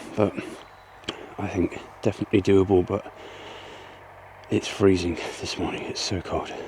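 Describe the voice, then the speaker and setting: A quiet, fairly low-pitched male voice at a moderate pace, monotone and flat, with long, frequent pauses and noticeable background noise. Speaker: homesteader vlogger. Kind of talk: casual vlog narration. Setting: outdoors. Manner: quiet, hushed.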